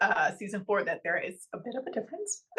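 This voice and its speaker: A woman is speaking. She has an American accent. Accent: Texan accent changed by living abroad. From Texas. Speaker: actress. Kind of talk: interview.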